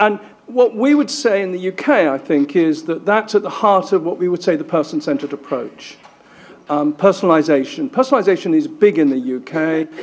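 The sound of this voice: Lively intonation at a moderate pace. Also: man, fairly high pitch for a man.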